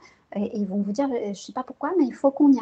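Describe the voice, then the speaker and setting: A woman's voice with ordinary pitch variation. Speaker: psychologist and neuroscience researcher. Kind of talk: interview. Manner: soft-spoken; hesitant, many fillers.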